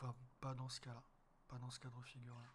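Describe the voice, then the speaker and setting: This man's voice sits at a medium pitch. It sounds somewhat breathy. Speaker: wildlife photographer. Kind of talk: tutorial. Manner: casual, hesitant.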